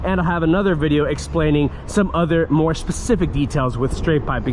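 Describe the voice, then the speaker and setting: Fairly quick and fairly high, a man's voice holds fairly even intonation while room echo and clear background noise come through. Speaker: car vlogger. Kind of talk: POV driving vlog. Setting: in a car. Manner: loud.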